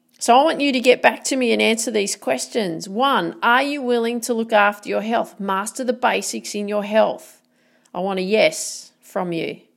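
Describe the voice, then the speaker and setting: A woman with an Australian accent, fairly high pitch, ordinary pitch variation and an energetic tone at a moderate pace, very clean recording, silent background. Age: 40s. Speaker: motivational podcaster. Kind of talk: motivational monologue.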